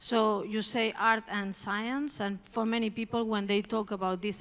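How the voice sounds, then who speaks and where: A woman with a Spanish accent speaks in a fairly high pitch at a moderate pace. Her intonation is monotone and flat. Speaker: art curator. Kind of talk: public talk. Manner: hesitant, with filler words.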